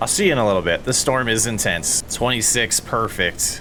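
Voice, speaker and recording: A man talks at a fairly quick pace with a fairly low pitch. Noticeable background noise can be heard. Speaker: gaming YouTuber. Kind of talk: gameplay commentary. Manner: loud; laid-back.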